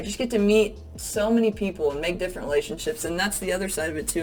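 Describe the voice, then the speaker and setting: An animated woman with an American accent talks at a very fast pace and medium pitch over noticeable background noise. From US South. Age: 20s. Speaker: real estate agent. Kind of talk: casual vlog monologue.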